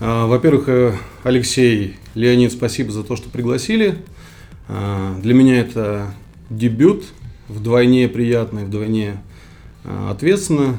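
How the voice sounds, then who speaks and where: Very slow delivery with long, frequent pauses, ordinary pitch variation, noticeable background noise and audible room echo. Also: man, medium pitch for a man. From Kyrgyzstan, Central Asia. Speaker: startup founder. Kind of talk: interview. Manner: halting, many fillers.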